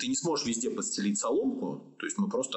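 A man is speaking. He talks at a very fast pace. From Russia, Orenburg. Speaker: clinical psychologist. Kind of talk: podcast interview.

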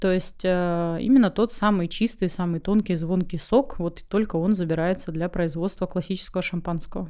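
A woman speaks at a moderate pace in an unremarkable speaking voice. Her pitch is medium, with ordinary variation. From Crimea. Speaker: winemaker. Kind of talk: interview.

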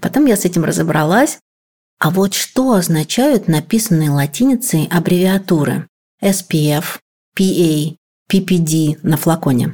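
Speaking very slowly with long, frequent pauses, a woman has a fairly low, somewhat breathy voice with a dark, mellow tone. Her intonation is lively while her loudness stays very even. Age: 40s. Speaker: podcast producer. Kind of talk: casual chat.

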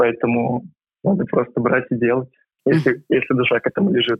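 A man speaks at a medium pitch with fairly even intonation in a normal speaking voice. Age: 20s. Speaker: university student, volunteer swim coach. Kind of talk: interview.

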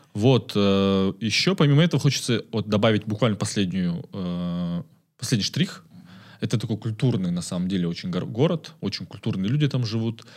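In a plain, everyday voice, a man speaks at a moderate pace with lively intonation on a very clean recording with a silent background. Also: fairly low pitch for a man. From Kazakhstan, Karaganda. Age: 20s. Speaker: community manager. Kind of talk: casual chat.

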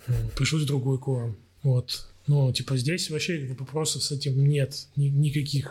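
Somewhat breathy and fairly slow, a man speaks in a fairly high pitch with monotone, flat intonation. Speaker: musician. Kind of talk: casual chat.

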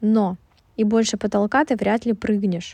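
In a dry, close sound with no echo and a quiet background, a woman speaks fairly slowly at medium pitch with ordinary pitch variation. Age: 20s. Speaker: podcast host. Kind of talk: casual monologue. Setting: recording in a closet.

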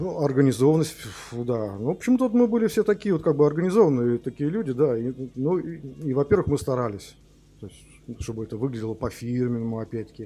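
At a very fast pace, a man of medium pitch speaks in a dark, mellow tone, with very wide pitch swings and big swings in loudness. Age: 50s. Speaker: rock musician, band founder. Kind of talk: interview.

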